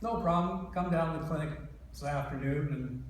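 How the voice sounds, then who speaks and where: A man talks with ordinary pitch variation and a moderate pace, his voice carrying audible room echo amid noticeable background noise. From Ontario, Canada. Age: 60s. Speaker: patient speaker. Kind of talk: testimony.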